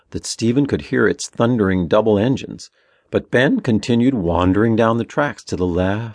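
Pitch varies in an ordinary way throughout this natural reading voice.

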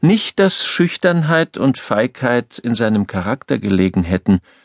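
A man with a normal speaking voice talks at a fairly slow pace. The background is quiet and the sound is dry and close with no echo. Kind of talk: audiobook narration, reading aloud a novel.

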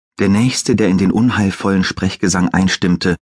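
In a dry, close recording with no echo, a man speaks at a very deep, low pitch with ordinary pitch variation. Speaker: audiobook narrator. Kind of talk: dramatic audiobook narration, reading a fantasy thriller aloud. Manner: hushed, suspenseful, slow and atmospheric.

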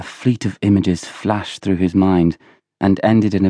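Intonation stays fairly even throughout this plain reading aloud. Little can be heard behind it, as the background is quiet.

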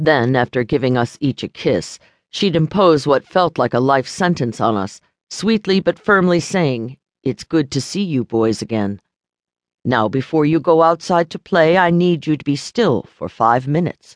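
With a normal speaking voice, a man talks at a moderate pace, his fairly high pitch moving in lively intonation, in a dry, close sound with no echo. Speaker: audiobook narrator. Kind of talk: audiobook reading of a foreword, scripted narration. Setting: studio. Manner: measured, warm, storytelling pace; formal, polished, read aloud.

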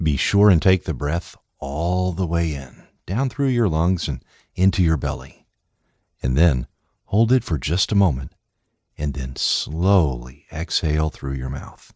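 Against a quiet background, a man talks at a fairly slow pace in a soothing, gentle tone. His very deep, low pitch carries lively intonation. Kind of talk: guided meditation. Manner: soothing, slow-paced and gentle; calm, measured, with pauses for breathing counts.

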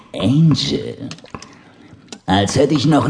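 A man with a medium-pitched voice speaks in a theatrical tone at a very slow pace, his pitch swinging very widely over noticeable background noise. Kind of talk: dramatic audiobook narration with voiced characters. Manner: theatrical, punchy delivery with sudden exclamations.

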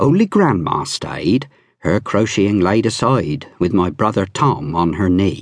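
A man speaks at a very slow pace in a warm tone with very wide pitch swings. The background is quiet. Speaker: audiobook narrator. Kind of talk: audiobook reading of a memoir, nostalgic rural childhood recollection. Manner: slow, warm, gently nostalgic, measured storytelling pace; wry, dryly humorous in places, vivid and unhurried.

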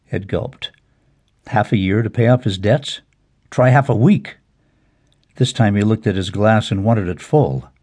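A man's fairly low, dark and mellow voice, somewhat breathy, at a moderate pace with long, frequent pauses, against a quiet background. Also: ordinary pitch variation. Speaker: audiobook narrator. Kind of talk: dramatic audiobook narration of a legal thriller, reading aloud. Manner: wry, cynical inner-monologue delivery with a sardonic edge.

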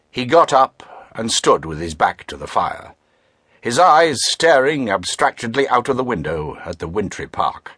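In a British accent, a dramatic voice with a bright, sharp tone and vocal fry moves at a fairly slow pace through very wide pitch swings and big swings in loudness, over a quiet background with a dry, close sound and no echo. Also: man, medium pitch for a man. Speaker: audiobook narrator. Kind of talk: dramatic audiobook narration with character voices. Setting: studio. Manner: dramatic, measured, shifting between characters; formal, clipped British delivery.

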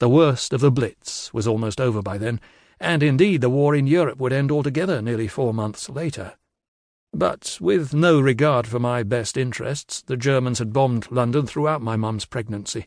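Against a quiet background, a man speaks in an unremarkable speaking voice. His pitch is medium, with ordinary variation, at a moderate pace. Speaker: audiobook narrator. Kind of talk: audiobook narration of a memoir. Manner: measured, storytelling pace.

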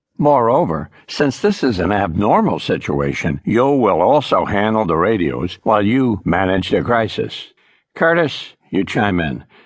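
The voice has an animated tone and very wide pitch swings, delivered at a fairly slow pace. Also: man, fairly low pitch for a man. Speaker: audiobook narrator. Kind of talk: dramatic audiobook narration, second-person pilot memoir. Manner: urgent, tense, vividly dramatic; animated, voicing characters with smart-aleck crew banter.

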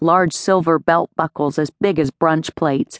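In a dry, close recording with no echo and a quiet background, a woman with an unremarkable speaking voice talks at a moderate pace and a fairly low pitch. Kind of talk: audiobook dramatic narration of a romance novel, third person with character dialogue.

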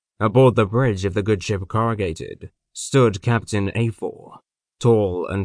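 Against a quiet background, with a dry, close sound with no echo, a man speaks in a plain, everyday voice at a fairly low pitch, a fairly slow pace and fairly even intonation. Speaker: audiobook narrator. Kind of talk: dramatic comic narration, scripted audiobook reading. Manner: deadpan, mock-epic, dry satirical delivery; grand, measured, storyteller pacing.

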